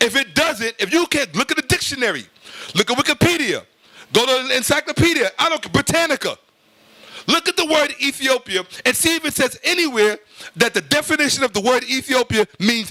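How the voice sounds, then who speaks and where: Shouting in a raised, projected voice at an extremely high pitch, a man talks at a fairly quick pace with lively intonation and an animated tone, the sound dry and close with no echo. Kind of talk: heated lecture. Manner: loud, yelling.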